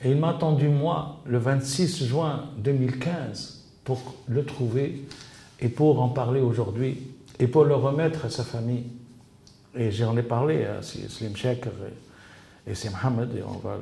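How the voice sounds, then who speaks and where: A man's somewhat breathy voice at medium pitch and a very slow pace, with audible room echo. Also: ordinary pitch variation. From Tunisia. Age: 70s. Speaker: interviewee researching his father's assassination. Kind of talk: interview. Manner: halting, many repetitions and fillers.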